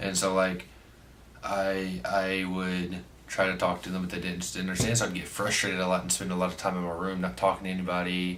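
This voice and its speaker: Very deep, low-pitched man's voice, monotone and flat, at a fairly quick pace, with audible room echo and noticeable background noise. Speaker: vlogger. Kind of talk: casual storytime vlog. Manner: halting, filler-heavy.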